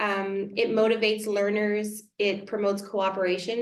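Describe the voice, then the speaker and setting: Over noticeable background noise, a woman speaks at medium pitch with a monotone, flat intonation. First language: French. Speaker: elementary school teacher. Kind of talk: community workshop presentation. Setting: small room with a few parents.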